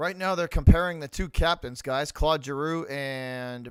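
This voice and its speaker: Speaking at a fairly slow pace, a man with an American accent has a fairly high pitch and ordinary pitch variation, captured in a very clean recording with a silent background. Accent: slight Boston accent, heavy when drinking. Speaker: live-stream hockey commentator. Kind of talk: live play-by-play commentary.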